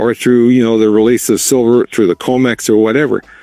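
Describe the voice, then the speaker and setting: A man with a medium pitch, music in the background. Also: dry, close sound with no echo. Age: 70s. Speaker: precious metals commentator. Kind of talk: interview. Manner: halting.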